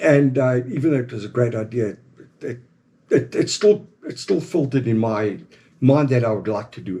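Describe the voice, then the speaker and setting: A man with a South African accent speaks at a moderate pace in a dark, mellow, somewhat breathy tone, with lively intonation. His loudness swings widely, and he takes long, frequent pauses. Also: medium pitch for a man. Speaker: former game ranger, company founder. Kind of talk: casual interview.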